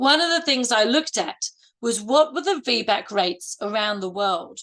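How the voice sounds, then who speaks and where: A woman with a bright, sharp tone and a fairly high pitch speaks at a fairly slow pace with lively intonation. The background is quiet. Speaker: midwife and university lecturer, webinar speaker. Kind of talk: webinar presentation. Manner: trying to slow down.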